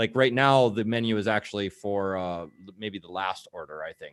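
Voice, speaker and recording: A man talks with a slight Minnesotan accent. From Minnesota, US Midwest. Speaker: show co-host, marketer. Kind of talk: casual interview on a live video show. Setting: video call.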